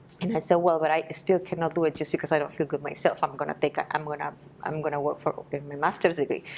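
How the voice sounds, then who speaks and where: Very fast and in a monotone, flat intonation, a woman speaks at a very deep, low pitch with a Spanish accent. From Peru, Lima. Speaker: Spanish teacher. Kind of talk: interview. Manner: halting.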